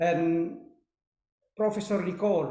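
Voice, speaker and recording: A man's high-pitched voice with fairly even intonation and audible room echo. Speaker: professor. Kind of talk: webinar Q&A. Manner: halting.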